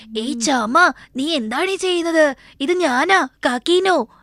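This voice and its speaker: At a moderate pace, a woman puts on a cartoonish character voice, raised and projected, at an extremely high pitch. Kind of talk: cartoon dubbing voice. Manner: playful.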